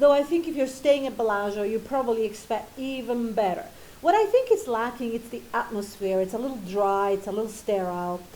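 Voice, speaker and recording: Her pitch is fairly high, with ordinary variation. The woman speaks at a fairly quick pace. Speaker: travel vlogger. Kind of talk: casual walk-through talk to camera. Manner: low volume.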